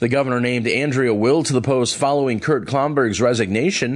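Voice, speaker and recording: A man talks at a fairly quick pace. He has an ordinary speaking voice. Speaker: radio news reader. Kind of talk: news reading. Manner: formal, brisk, even.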